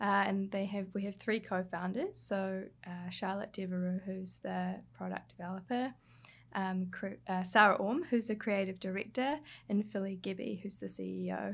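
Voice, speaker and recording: A woman speaks with a New Zealand accent. The recording is very clean, and the background silent. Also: moderate pace. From New Zealand, Hawke's Bay. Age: 20s. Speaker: skincare brand copywriter and writer. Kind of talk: interview.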